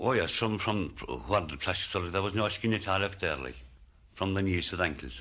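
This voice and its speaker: This man's voice is very deep and low, with vocal fry and a bright, sharp tone. He moves at a fairly quick pace with ordinary pitch variation and long, frequent pauses. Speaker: former lime burner. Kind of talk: interview recollection.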